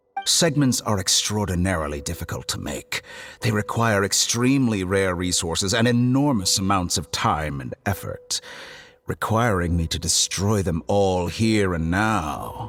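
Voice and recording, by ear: A put-on character voice with a fairly bright tone and lively intonation is heard over faint music in the background. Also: man, low pitch for a man, fairly slow pace.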